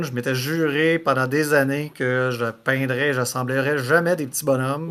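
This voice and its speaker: This man talks with a Quebec accent at a moderate pace. His pitch sits fairly high. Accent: Québécois French. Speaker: podcast host. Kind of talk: casual podcast talk.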